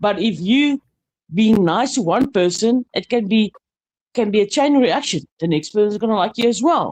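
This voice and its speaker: Lively intonation and a moderate pace mark this voice with a South African accent, captured with a dry, close sound and no echo. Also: woman. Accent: Afrikaans-accented English, noticeable. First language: Afrikaans. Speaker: panel guest. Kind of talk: casual panel chat. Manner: halting.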